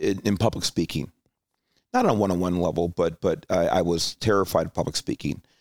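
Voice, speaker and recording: A man speaks in a very deep, low voice. The sound is dry and close, with no echo. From Los Angeles, California. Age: 50s. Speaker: retired highway patrol chief, corporate security director. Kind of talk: interview conversation.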